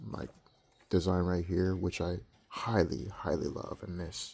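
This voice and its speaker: Very deep and low in pitch, a man speaks at a fairly slow pace with monotone, flat intonation. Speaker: shoe reviewer on own channel. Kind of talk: casual product review. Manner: halting, filler-heavy.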